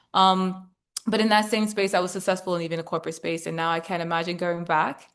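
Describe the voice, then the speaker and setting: A woman with a British accent speaks against a quiet background. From Britain. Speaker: former investment banker and investor. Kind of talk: webinar presentation.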